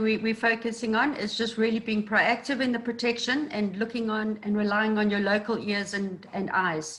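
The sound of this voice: A woman speaks at a moderate pace with a fairly high pitch and a bright, sharp tone. Room echo is audible around her voice.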